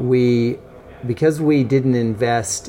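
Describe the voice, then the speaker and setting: A man with an American accent and medium pitch speaks against noticeable background noise. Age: 50s. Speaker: bike industry executive. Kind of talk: interview. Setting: coffee shop.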